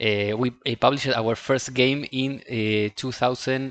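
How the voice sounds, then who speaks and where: Spoken very slowly with a non-native accent, the words carry fairly even intonation. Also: man. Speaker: indie game developer. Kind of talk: recorded video statement. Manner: halting, many repetitions and fillers.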